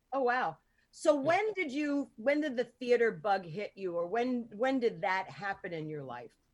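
With an American accent, a woman speaks at a moderate pace in a fairly high pitch, using very wide pitch swings and big swings in loudness. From New Jersey. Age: 50s. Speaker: podcast host. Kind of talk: casual talk show chat. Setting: video call. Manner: animated.

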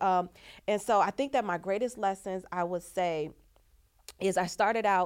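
With ordinary pitch variation, a woman talks at a moderate pace in a medium pitch. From Chicago. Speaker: nurse turned trucking company founder. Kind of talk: casual chat.

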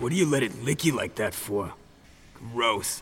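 Putting on a gruff character voice, a man talks at a medium pitch and a moderate pace. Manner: disgusted, scolding.

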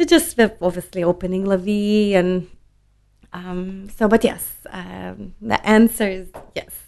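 A woman speaks at a fairly slow pace in a Lithuanian accent. Her loudness swings widely. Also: medium pitch for a woman, ordinary pitch variation. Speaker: wine importer. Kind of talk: casual interview chat.

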